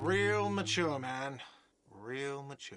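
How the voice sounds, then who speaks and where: A man puts on a whiny character voice at a medium pitch. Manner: shouting, whiny.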